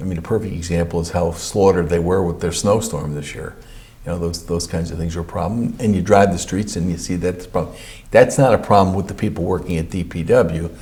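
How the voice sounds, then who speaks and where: Against noticeable background noise and audible room echo, a man with a very deep, low pitch speaks at a very fast pace. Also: fairly even intonation. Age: 60s. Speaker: county official. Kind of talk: interview. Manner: halting.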